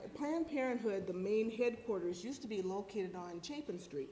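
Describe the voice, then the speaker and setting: A woman with an American accent speaks at a medium pitch and a moderate pace. Her intonation is lively, and room echo can be heard. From US Midwest. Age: 60s. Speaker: former clinic counselor, panelist. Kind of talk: panel talk.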